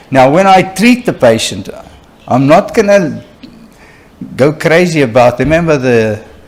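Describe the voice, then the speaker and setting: Long, frequent pauses mark a man's fairly slow speech, his fairly high voice swinging very widely in pitch at a very even loudness. Noticeable background noise is present. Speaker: oral and maxillofacial surgeon lecturer. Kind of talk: lecture. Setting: conference hall with live interpreter.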